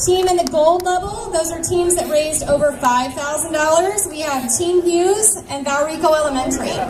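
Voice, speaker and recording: A loud woman speaks at an extremely high pitch with ordinary pitch variation and hardly any pauses. Audible room echo and noticeable background noise accompany her. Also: moderate pace. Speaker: event organizer. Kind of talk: event announcements to crowd.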